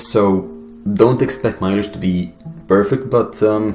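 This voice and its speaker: Amid noticeable background noise and audible room echo, a man talks at a moderate pace with a fairly low pitch. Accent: Arabic. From Egypt. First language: Arabic. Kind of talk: personal testimony monologue.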